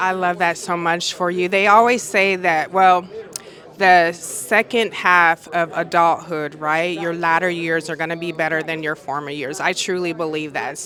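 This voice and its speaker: Amid noticeable background noise, a woman with a fairly low pitch speaks at a moderate pace. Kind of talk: red carpet interviewer. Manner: upbeat, enthusiastic.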